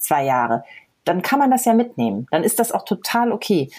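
At a moderate pace, a woman speaks at a medium pitch with vocal fry. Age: 40s. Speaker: blogger. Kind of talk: casual interview.

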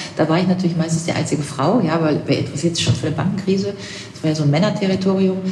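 A woman with a fairly low pitch speaks at a very fast pace with fairly even intonation. Noticeable background noise and audible room echo are present. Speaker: political scientist and commentator. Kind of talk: interview.

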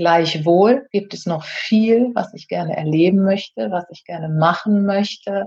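A woman with an ordinary speaking voice, medium pitch, ordinary pitch variation, big swings in loudness, a fairly slow pace and hardly any pauses. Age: 50s. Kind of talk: casual interview.

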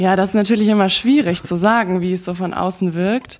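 Her intonation is fairly even and her pitch medium. This woman speaks at a moderate pace. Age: 20s. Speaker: actress, recent drama school graduate. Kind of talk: interview. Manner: halting, many fillers.

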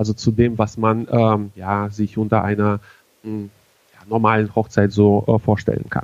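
A man with a fairly low pitch speaks at a moderate pace. His intonation stays monotone and flat. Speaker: wedding emcee. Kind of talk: casual interview. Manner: halting, many fillers.

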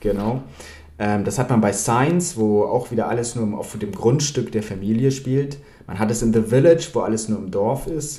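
With audible room echo, a man speaks at a moderate pace and medium pitch in a somewhat breathy, dark, mellow tone with ordinary pitch variation. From Bavaria, Germany. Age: young. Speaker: film author. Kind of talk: interview. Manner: halting, many fillers.

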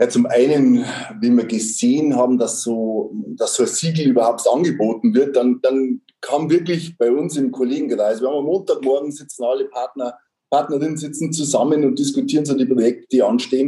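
A man with a fairly high pitch talks at a fairly quick pace with ordinary pitch variation in a normal speaking voice. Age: 50s. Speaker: tax advisor, firm partner. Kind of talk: interview.

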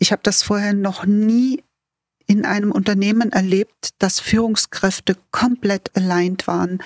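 A woman with a plain, everyday voice, medium pitch, fairly even intonation, very even loudness and a fairly slow pace, in a dry, close sound with no echo. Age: 60s. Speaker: facility management executive. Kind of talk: interview. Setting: remote call.

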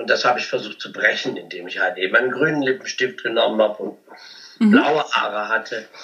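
A man's loudness swings widely. Noticeable background noise runs underneath. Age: 50s. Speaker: cabaret artist and comedian. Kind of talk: interview.

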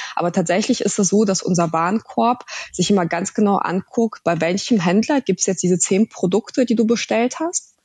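At a moderate pace, a woman speaks at medium pitch with ordinary pitch variation and very even loudness, in a dry, close sound with no echo. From Russia, moved to Germany at nine. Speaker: startup founder. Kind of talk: podcast interview.

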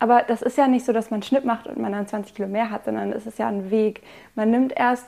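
A woman with an unremarkable speaking voice talks at a fairly quick pace, her intonation fairly even. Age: 20s. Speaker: student sharing eating disorder recovery story. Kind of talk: personal testimony in interview.

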